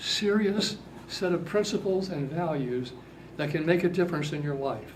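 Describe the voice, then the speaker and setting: Audible room echo surrounds a man speaking at a high pitch with lively intonation. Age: 80s+. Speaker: workshop speaker to youth. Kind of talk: talk to young audience. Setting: seated at front of workshop room.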